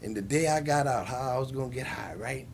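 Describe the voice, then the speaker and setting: This voice has an American accent. The pace is moderate. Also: man. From Massachusetts (Springfield). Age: 60s. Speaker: recovering addict. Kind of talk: testimony. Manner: halting.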